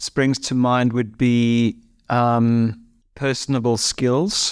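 In a South African accent, a man of medium pitch speaks very slowly with monotone, flat intonation on a very clean recording with a silent background and a dry, close sound with no echo. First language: Afrikaans. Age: 50s. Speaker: former musician turned financial planner. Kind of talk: interview.

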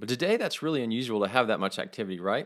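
In a very clean recording with a silent background, a man speaks with a Texas accent. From West Texas. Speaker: podcast host. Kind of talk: casual faith talk monologue.

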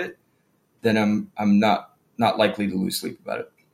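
Speaking at a fairly quick pace with lively intonation, a man with an American accent has an ordinary speaking voice. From Phoenix, Arizona. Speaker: business owner in the plumbing trade. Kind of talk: interview conversation.

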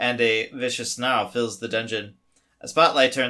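The surroundings are quiet as someone simply reads a text aloud.

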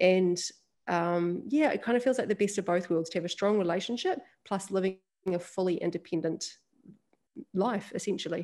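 Speaking in a New Zealand accent with a dark, mellow tone, this voice moves at a moderate pace with ordinary pitch variation and long, frequent pauses. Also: woman, medium pitch for a woman. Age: 30s. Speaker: women's leadership event founder and podcast host. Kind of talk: interview conversation.

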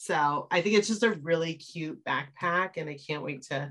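This woman has an American accent. She speaks with a bright, sharp tone. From Wisconsin. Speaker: podcast host. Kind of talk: casual chat.

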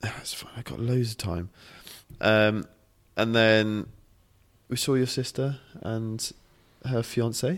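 A man with a British accent speaks at a very slow pace and medium pitch, taking long, frequent pauses in a playful tone with ordinary pitch variation. The recording is very clean, with a silent background. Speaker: podcast co-host, fitness coach. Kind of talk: casual chat. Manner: playful, joking.

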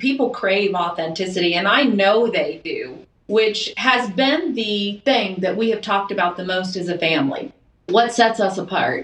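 A woman with an unremarkable speaking voice at medium pitch, moderate pace and ordinary pitch variation. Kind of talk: casual chat.

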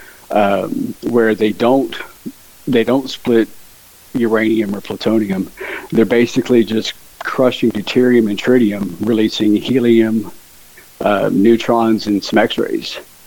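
Through noticeable background noise, a man speaks slowly at a medium pitch in a monotone, flat delivery, his pace fairly slow. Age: 40s. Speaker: conspiracy theorist. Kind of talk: casual interview.

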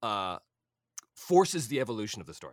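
In a very clean recording with a silent background, a man talks very fast with vocal fry and very wide pitch swings. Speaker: voice actor. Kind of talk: casual interview chat. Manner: animated, laughs often.

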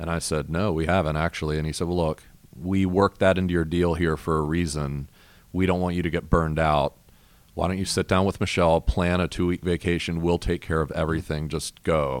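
With an American accent, a man speaks in a very deep, low pitch and a monotone, flat intonation over a very clean recording with a silent background. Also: fairly quick pace. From US Mid-Atlantic. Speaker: pastor. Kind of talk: casual chat.

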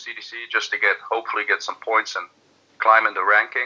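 At a moderate pace, a man speaks with a Dutch accent. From Netherlands. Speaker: darts player. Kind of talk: interview.

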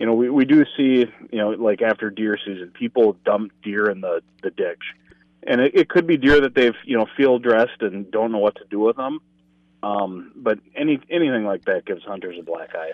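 Speaking with a Minnesota accent, a man talks at a moderate pace in a medium pitch with ordinary pitch variation. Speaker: state conservation enforcement communications officer and author. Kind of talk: casual chat.

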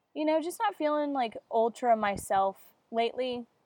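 A woman speaks at a moderate pace with ordinary pitch variation, her voice dry and close with no echo. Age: 20s. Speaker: podcast host. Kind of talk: casual chat. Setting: outdoors. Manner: animated.

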